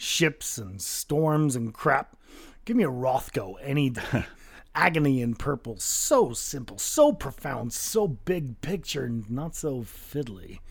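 On a very clean recording with a silent background, a man with a fairly high pitch talks at a fairly slow pace with very wide pitch swings. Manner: languid, dismissive, smug.

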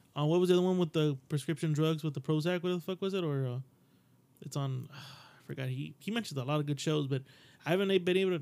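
The man talks at a very fast pace in an animated tone. His pitch variation is ordinary. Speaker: podcast host. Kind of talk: casual banter, comedic chat. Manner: animated, joking, profane.

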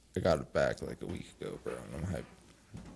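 A man with an American accent speaks in a dark, mellow tone with vocal fry. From Massachusetts. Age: 20s. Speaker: musician. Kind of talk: casual chat.

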